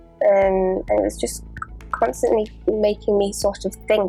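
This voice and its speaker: A woman speaks with music in the background. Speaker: artist. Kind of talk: casual talk to camera.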